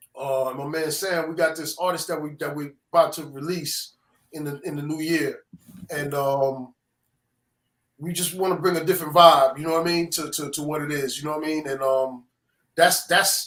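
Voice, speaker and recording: A man with a strong New York accent, fairly high pitch, monotone, flat intonation, big swings in loudness and a moderate pace. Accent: New York accent, still strong. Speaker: music producer. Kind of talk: casual chat.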